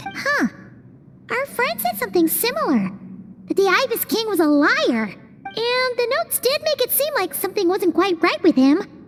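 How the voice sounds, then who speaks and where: The squeaky voice sits at an extremely high pitch. It is a put-on character voice delivered at a moderate speed. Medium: video game. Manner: excitable, chatty.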